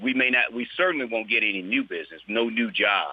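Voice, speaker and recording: A man with a Mississippi accent speaks at a moderate pace, medium in pitch, with ordinary pitch variation. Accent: Southern US (Mississippi). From US South, Mississippi. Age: 60s. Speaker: state legislator. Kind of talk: interview. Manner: halting, with many repeated words.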